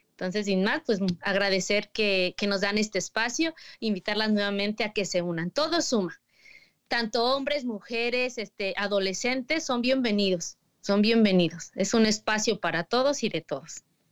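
In a very clean recording with a silent background, a woman with a fairly high pitch and an ordinary speaking voice talks at a moderate pace with ordinary pitch variation. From State of Mexico. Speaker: magazine editor. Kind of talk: casual chat.

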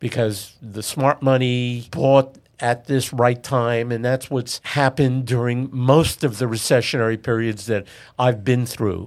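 A man with a New York accent and fairly even intonation, in a very clean recording with a silent background. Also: medium pitch for a man, fairly slow pace. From New York City (Queens). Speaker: commercial real estate broker. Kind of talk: interview.

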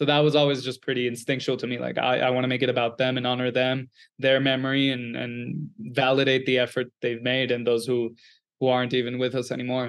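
A man talks very fast at a medium pitch, his intonation monotone and flat. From Venezuela. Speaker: film director. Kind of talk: interview.

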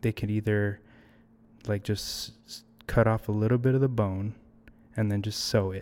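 In a very clean recording with a silent background, a man with a fairly low voice speaks at a moderate pace with an American accent. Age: 30s. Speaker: filmmaker. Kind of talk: casual chat. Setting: studio.

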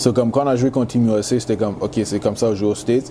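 Someone with a Canadian accent speaks with ordinary pitch variation over noticeable background noise. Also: man. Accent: Canadian accent when speaking English. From Montreal, Quebec. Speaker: college football player. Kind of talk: interview.

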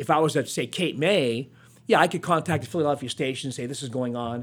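A normal speaking voice from a man with an American accent, fairly high in pitch, with lively intonation at a fairly quick pace. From northeastern Pennsylvania. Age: 60s. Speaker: TV news reporter. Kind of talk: interview. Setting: studio.

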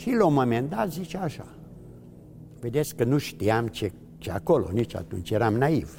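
Somewhat breathy and dark, mellow in tone, a man talks at a moderate pace and medium pitch, with very wide pitch swings and long, frequent pauses. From Transylvania, Romania (Mureș county). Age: 80s+. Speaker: Holocaust survivor. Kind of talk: testimony. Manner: halting.

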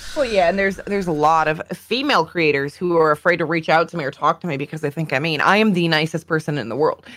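With a Canadian accent, a woman of fairly low pitch speaks at a very fast pace with hardly any pauses and ordinary pitch variation, over noticeable background noise. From Canada. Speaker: streamer. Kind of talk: casual chat.

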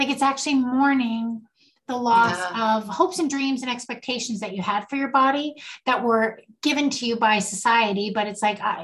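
A woman with a plain, everyday voice speaks at a fairly high pitch with ordinary pitch variation. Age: 60s. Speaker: podcast co-host, mother and grandmother. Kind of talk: casual chat. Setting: video call.

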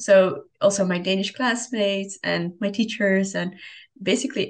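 Intonation stays fairly even, marked by vocal fry. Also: woman. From Europe, within driving distance of Denmark. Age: 20s. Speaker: student podcast co-host. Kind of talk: casual chat.

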